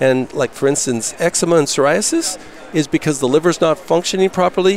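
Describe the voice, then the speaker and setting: A man's intonation is lively, and noticeable background noise runs underneath. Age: 60s. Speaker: health products vendor. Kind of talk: interview. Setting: expo hall booth broadcast.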